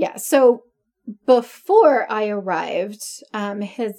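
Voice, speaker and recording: A woman speaks in a dark, mellow tone. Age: 40s. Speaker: podcast co-host. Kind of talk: casual chat.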